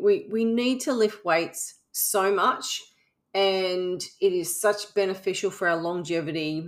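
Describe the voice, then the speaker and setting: The speaker has an Australian accent with ordinary pitch variation. The recording is very clean, with a silent background. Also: woman. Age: 50s. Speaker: podcast host, fitness coach. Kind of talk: casual monologue. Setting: home recording under air conditioning.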